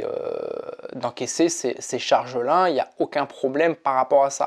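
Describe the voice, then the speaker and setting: A man at a fairly slow pace. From France. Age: 40s. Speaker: ultra-triathlete and mental coach. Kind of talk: casual vlog monologue. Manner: hesitant with frequent fillers and repetitions.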